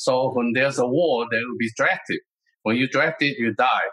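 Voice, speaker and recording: In a Taiwanese accent, a man speaks at a medium pitch. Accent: Taiwanese Mandarin-accented English. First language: Mandarin Chinese. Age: 70s. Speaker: martial arts master and author. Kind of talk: interview.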